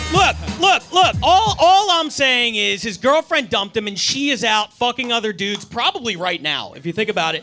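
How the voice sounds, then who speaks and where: A man with an extremely high pitch and a raised, projected voice, at a moderate pace with hardly any pauses and very wide pitch swings, music in the background. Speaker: comedian in roast battle. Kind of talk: stand-up roast set. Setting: stage with audience.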